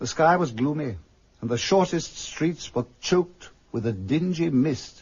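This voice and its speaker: A man with a fairly high, somewhat breathy voice talks at a fairly slow pace, his pitch swinging very widely. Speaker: actor playing the storyteller and Scrooge, reading Dickens narration. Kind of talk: vintage radio drama narration. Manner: narrative storytelling.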